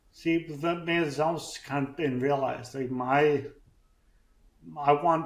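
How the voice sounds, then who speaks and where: Audible room echo follows a man as he talks. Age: 40s. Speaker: brain injury survivor and podcaster. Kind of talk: interview. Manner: halting, with speech deficit.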